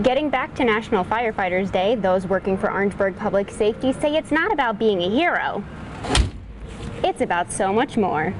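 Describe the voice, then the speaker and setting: Against noticeable background noise, a woman speaks at a medium pitch with lively intonation and very even loudness. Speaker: TV news reporter. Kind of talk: TV news feature voice-over.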